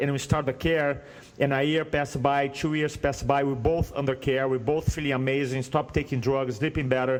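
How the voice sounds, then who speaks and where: A man speaks at a fairly quick pace with a slight Brazilian accent. His pitch is fairly high. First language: Portuguese. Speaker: speaking coach. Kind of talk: podcast interview, personal story. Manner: animated storytelling.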